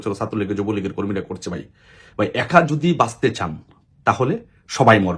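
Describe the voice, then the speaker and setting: A man speaks in a fairly low voice that is somewhat breathy. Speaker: political activist. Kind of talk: political appeal monologue. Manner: impassioned.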